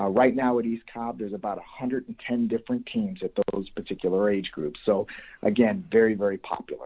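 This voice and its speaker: Talking at a fairly quick pace, a man speaks with a slight Chicago accent. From US Midwest, Chicago area (Des Plaines, Illinois). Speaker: youth baseball coach. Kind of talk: podcast interview.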